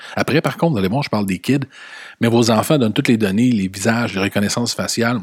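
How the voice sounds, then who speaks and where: A man with a Quebec accent at a very fast pace, medium pitch and ordinary pitch variation, in a dry, close sound with no echo. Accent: Québécois French. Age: 40s. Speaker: podcast host. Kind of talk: opinion monologue. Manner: animated.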